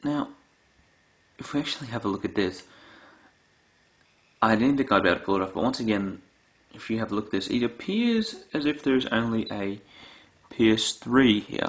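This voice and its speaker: The speaker talks at a fairly quick pace with an Australian accent and ordinary pitch variation. Long pauses come often. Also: man, medium pitch for a man. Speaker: gaming YouTuber. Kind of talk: product comparison video. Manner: casual with filler words.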